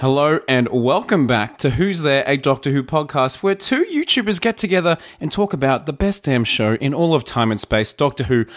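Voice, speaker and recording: A man's playful, fairly high voice with an Australian accent, lively intonation, very even loudness and a moderate pace, in a dry, close sound with no echo. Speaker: podcast host and YouTuber. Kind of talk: casual banter chat. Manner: jokey, playful.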